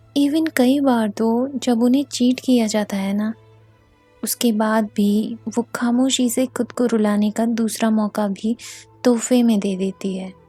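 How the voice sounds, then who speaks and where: A woman with a fairly high pitch speaks in fairly even intonation, recorded dry and close with no echo while music plays in the background. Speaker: poet. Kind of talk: spoken word poetry.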